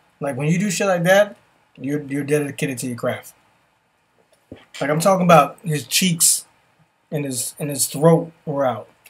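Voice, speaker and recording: With a fairly high-pitched voice and ordinary pitch variation, a man speaks at a moderate pace broken by long, frequent pauses. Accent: New York. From New York. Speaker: podcast host. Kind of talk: casual chat. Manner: animated.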